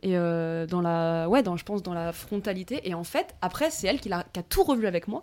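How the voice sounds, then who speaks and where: Speaking at a moderate pace with hardly any pauses, a woman has an unremarkable speaking voice, a medium pitch, and ordinary pitch variation. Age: 20s. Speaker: student. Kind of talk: casual chat. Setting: at the host's home.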